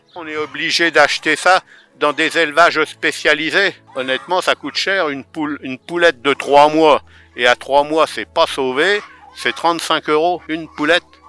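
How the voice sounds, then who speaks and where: Music plays in the background as the voice moves at a moderate pace with fairly even intonation. Loudness swings widely from moment to moment. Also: man, fairly high pitch for a man, dry, close sound with no echo. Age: 70s. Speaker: retired farmer keeping poultry. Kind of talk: guided farm tour for children. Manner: hesitant, many fillers and repeats.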